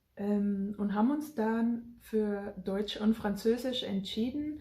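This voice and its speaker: A woman with a Bavarian accent, a fairly high pitch, a somewhat breathy quality and a dark, mellow tone. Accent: Bavarian, still audible. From Germany, rural Bavaria. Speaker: family vlogger emigrating to Africa. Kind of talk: casual vlog talk.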